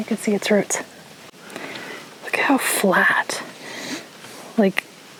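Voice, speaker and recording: A woman talks at a fairly slow pace, with long, frequent pauses. Noticeable background noise runs under her voice. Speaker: travel vlogger. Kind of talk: casual travel vlog narration. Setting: outdoors.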